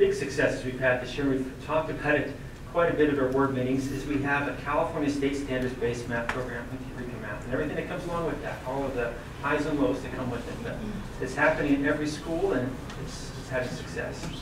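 A man talks at a very fast pace. The room has audible echo, and there is noticeable background noise. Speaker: presenter. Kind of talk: presentation to board. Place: meeting room.

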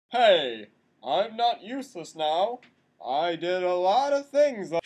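A man talks at a fairly slow pace with a high pitch. His pitch swings very widely. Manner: dim, eager, whiny.

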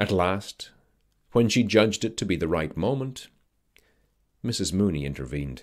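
A man speaks at a moderate pace in a very deep, low voice with vocal fry. The background is quiet. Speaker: voice actor. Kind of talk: audiobook-style literary narration. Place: studio. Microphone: studio mic.

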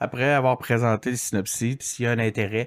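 The man's voice comes through in a very clean recording with a silent background and a dry, close sound with no echo. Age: 40s. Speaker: digital strategist and podcaster. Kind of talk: interview. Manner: halting, many fillers.

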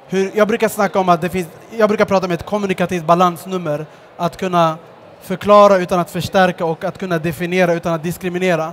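A man with a high pitch talks at a very fast pace. His intonation is monotone and flat, over light background noise. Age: 30s. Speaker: social entrepreneur; guest. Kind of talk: stage interview. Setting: stage at a book fair with audience. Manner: hesitant, with fillers. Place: stage. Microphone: headset.

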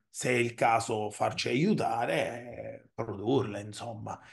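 Against a quiet background, the voice comes across somewhat breathy. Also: man. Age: 40s. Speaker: software company CEO; guest. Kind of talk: interview. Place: home room.

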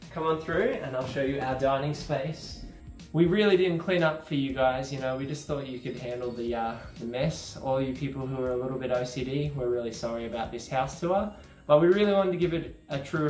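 A man speaks with ordinary pitch variation, with faint music in the background and audible room echo. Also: fairly quick pace. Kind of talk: casual vlog house tour. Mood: cheerful, joking. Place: home room.

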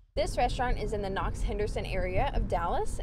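Against noticeable background noise, a woman talks at a very fast pace in a dry recording with no echo. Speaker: vlogger. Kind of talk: casual vlog chat. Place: car. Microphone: phone near.

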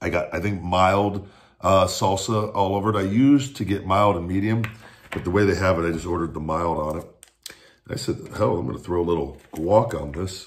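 Speaking at a fairly quick pace, the man has a very deep, low voice. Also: ordinary pitch variation. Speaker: food reviewer. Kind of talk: casual vlog chat. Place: kitchen. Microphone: phone near.

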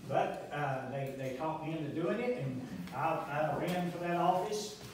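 There is strong room echo and light background noise. A man speaks with ordinary pitch variation. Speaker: candidate. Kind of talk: campaign speech. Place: cafe. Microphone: camera far.

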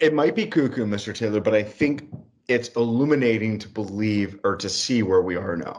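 Here a man speaks at a medium pitch with an unremarkable speaking voice. His pace is moderate and his pitch varies in an ordinary way. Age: 30s. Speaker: podcast co-host. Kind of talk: casual political discussion.

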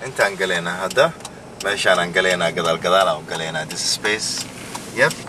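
Noticeable background noise sits behind a man talking at a moderate pace, the sound dry with no echo. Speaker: companion on outing. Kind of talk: casual vlog commentary. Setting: outdoors at a market. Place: car. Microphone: camera far.

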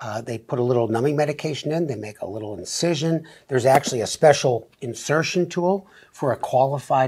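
Speaking at a moderate pace, a man lets his pitch vary in an ordinary way. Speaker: doctor co-host. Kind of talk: explanatory talk-show conversation. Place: studio. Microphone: lapel.

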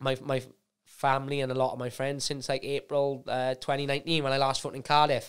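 A man with a Welsh accent speaks in a fairly high, monotone, flat voice. His pace is moderate, and the background is quiet. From Wales. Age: 20s. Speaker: UFC fighter; guest. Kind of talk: casual chat. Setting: studio. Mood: relaxed, calm. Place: studio. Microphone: studio mic.

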